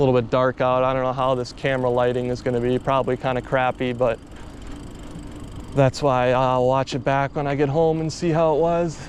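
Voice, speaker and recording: The delivery moves at a moderate pace. Behind it, noticeable background noise is audible. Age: 20s. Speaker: vlogger. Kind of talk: casual vlog monologue. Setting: outdoors, riding a bike at night. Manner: casual, rambling conversational.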